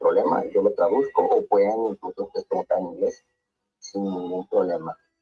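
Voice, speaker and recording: A man talking at a fairly quick clip, with music playing behind him. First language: Spanish. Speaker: academic seminar moderator. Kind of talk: seminar moderation.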